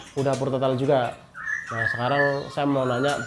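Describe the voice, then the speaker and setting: Loud background noise behind a man talking at a very fast pace. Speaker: bird market reviewer / YouTuber. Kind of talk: street seller price haggling, shop-visit review chat. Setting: outdoors at a bird stall. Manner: fast, chatty, rapid-fire price questions; friendly, upbeat, polite. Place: shop.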